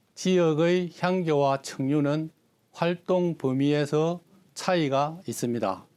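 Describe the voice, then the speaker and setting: A man with a fairly high-pitched voice talks very slowly. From South Korea, Geochang (South Gyeongsang). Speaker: Confucian youth organization leader, etiquette lecturer. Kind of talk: interview answers. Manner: formal.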